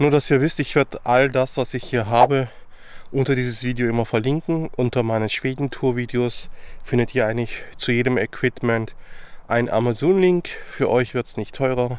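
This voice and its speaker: A man talks at a moderate pace, with long, frequent pauses. The sound is dry, with no echo. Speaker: travel vlogger. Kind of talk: casual vlog chat. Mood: cheerful, relaxed. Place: forest. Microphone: phone near.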